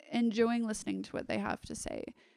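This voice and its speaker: Recorded with a dry, close sound and no echo, a woman talks at a very fast pace. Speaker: stripper answering questions. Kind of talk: casual chat, Q&A. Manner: joking, playful.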